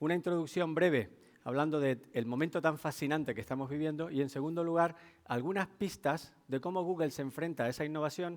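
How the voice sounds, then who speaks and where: A man with a Canarian accent talks at a fairly quick pace. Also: fairly high pitch for a man, ordinary pitch variation. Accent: Canarian Spanish, noticeable. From Canary Islands, Tenerife. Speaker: technology executive, keynote speaker. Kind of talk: business keynote talk. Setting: stage with audience.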